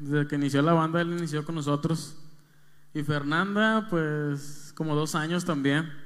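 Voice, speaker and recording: A man speaks at a fairly slow pace with a fairly high pitch and fairly even intonation, and the room echoes audibly around him. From Mexico, Monterrey. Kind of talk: interview conversation.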